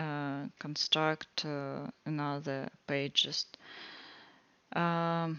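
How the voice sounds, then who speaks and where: A woman with a Russian accent talks very slowly at a very deep, low pitch, her fairly even intonation broken by long, frequent pauses. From Russia (Moscow). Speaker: student presenting a coding project. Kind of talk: project walkthrough tutorial. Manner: halting, many fillers.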